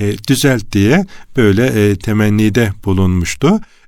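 A man speaks at a very slow pace. His pitch sits fairly low, with ordinary variation. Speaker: religious radio host. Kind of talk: religious radio talk. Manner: hesitant fillers.

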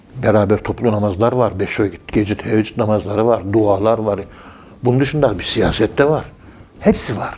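A man speaks in an ordinary speaking voice at a fairly low pitch. His pace is moderate and his intonation fairly even. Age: 60s. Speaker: professor of Sufism. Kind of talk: religious talk on radio.

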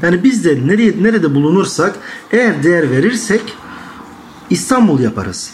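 Here a man talks with lively intonation at a moderate pace. Audible room echo and noticeable background noise surround him. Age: 20s. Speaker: young interviewee. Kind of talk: interview answers.

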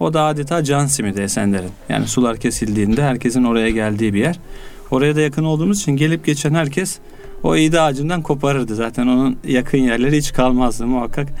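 Over music in the background, a man talks at a very fast pace with medium pitch, ordinary pitch variation and very even loudness. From Istanbul, Turkey. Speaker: poet. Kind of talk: interview conversation.

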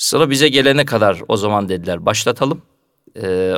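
A man speaks with ordinary pitch variation. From Turkey, Karamürsel (Kocaeli). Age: 40s. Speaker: mosque muezzin. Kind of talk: radio interview. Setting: studio.

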